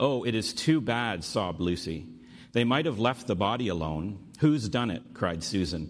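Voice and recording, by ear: In a natural voice, a text is read aloud.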